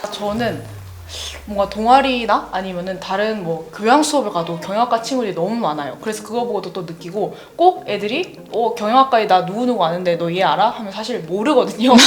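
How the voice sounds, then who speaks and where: Over noticeable background noise, the speaker talks at a fairly quick pace with lively intonation. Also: woman, medium pitch for a woman. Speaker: university student. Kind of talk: casual chat.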